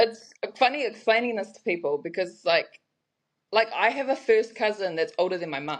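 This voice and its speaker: A woman with a New Zealand accent speaks at a moderate pace and fairly high pitch. Her intonation is lively, and her loudness swings widely. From New Zealand, Hamilton and Raglan. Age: 20s. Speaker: brand creator. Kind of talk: casual interview chat.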